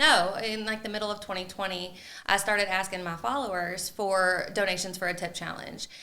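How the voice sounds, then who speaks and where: A woman at a fairly quick pace, fairly even intonation, noticeable background noise and audible room echo. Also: medium pitch for a woman. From Louisville, Kentucky. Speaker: real estate agent. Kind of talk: casual chat. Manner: loud.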